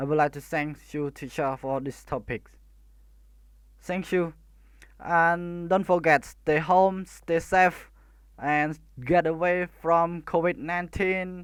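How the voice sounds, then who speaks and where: Speech in a Khmer accent comes at a very slow pace with long, frequent pauses. The recording is very clean with a silent background. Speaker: student. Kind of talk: class presentation. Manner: halting, many hesitations.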